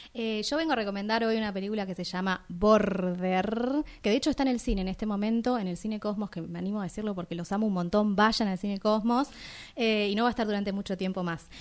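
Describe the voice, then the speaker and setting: At a very fast pace, a woman talks in a medium pitch with ordinary pitch variation. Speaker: radio film show co-host. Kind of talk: casual chat.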